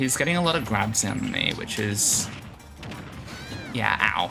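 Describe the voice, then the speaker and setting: Music in the background and an Australian accent. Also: man. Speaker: video game streamer. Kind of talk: live gameplay commentary. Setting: livestream. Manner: fast.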